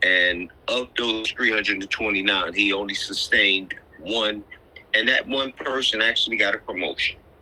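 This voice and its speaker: A man keeps a moderate pace while noticeable background noise runs on. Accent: American. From Philadelphia area. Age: 60s. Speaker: exonerated former prisoner. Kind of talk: interview.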